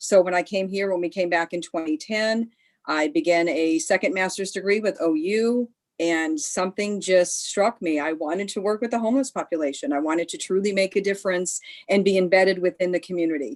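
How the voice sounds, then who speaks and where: With an American accent, a woman speaks in a plain, everyday voice at medium pitch, fairly quickly and with lively intonation. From Pennsylvania. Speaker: city homeless programs coordinator. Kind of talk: panel introduction.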